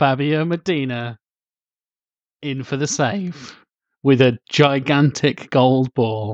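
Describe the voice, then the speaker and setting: In a British accent, a man talks at a very slow pace with long, frequent pauses, a fairly high pitch and ordinary pitch variation, in a dry, close sound with no echo against a quiet background. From Britain. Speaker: podcast host. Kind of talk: casual chat.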